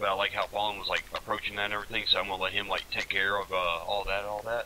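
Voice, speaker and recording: A man with a Southern US accent talks very fast in a monotone, flat intonation. Noticeable background noise is present. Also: fairly low pitch for a man. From US South. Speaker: gamer leading military-style training. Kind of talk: casual tactical discussion.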